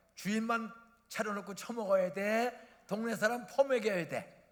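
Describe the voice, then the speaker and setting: With audible room echo, a man talks in an animated tone at a high pitch and a fairly slow pace. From South Korea, Bucheon/Incheon area. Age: 70s. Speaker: retired pastor. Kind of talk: sermon. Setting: church.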